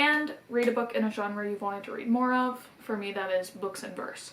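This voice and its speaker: A woman talks at a fairly quick pace in a fairly high pitch, with noticeable background noise. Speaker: book vlogger. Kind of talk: casual vlog monologue. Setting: outdoors. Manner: fast.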